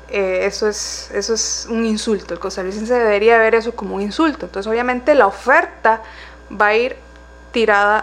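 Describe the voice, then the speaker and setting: A woman speaks at a moderate pace in an ordinary speaking voice with ordinary pitch variation. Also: fairly high pitch for a woman. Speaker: council candidate, economist. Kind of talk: political interview.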